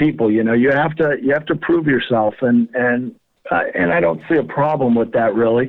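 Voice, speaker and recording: A man with an American accent speaks at a fairly quick pace in a medium pitch, with ordinary pitch variation and very even loudness. It is a plain, everyday voice. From Colorado, US. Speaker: small business owner, fly tying tool maker. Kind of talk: casual interview.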